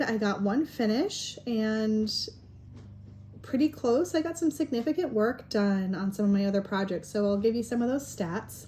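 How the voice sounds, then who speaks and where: Her pitch fairly high, a woman speaks in a dark, mellow tone that is somewhat breathy. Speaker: crafting video host. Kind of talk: casual vlog chat. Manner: hesitant, many fillers.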